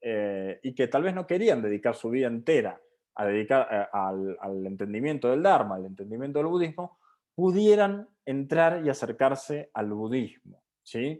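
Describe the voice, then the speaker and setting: Over a quiet background, a man at a medium pitch speaks fairly slowly, his pitch swinging very widely. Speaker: Buddhism seminar teacher. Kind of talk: lecture.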